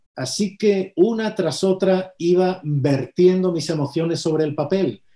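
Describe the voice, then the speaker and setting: A man's high voice with a dark, mellow tone. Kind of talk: interview.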